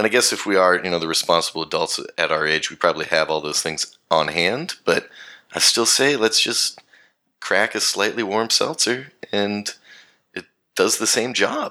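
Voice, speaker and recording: At a moderate pace, a man speaks with a bright, sharp tone. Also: fairly low pitch for a man, lively intonation. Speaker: podcast guest, friend of hosts. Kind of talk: casual chat. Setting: remote recording from Australia.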